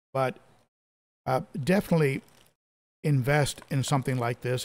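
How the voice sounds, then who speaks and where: A man speaks at a moderate pace. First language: Spanish. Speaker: fish keeper live stream host. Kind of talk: casual live stream chat. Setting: live stream, home. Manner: casual, friendly, uses fillers. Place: home room. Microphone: studio mic.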